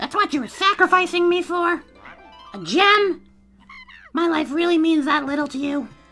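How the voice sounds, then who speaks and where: A strained, guttural put-on character voice at an extremely high pitch comes with long, frequent pauses and faint music in the background. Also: moderate pace. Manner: hurt, accusing.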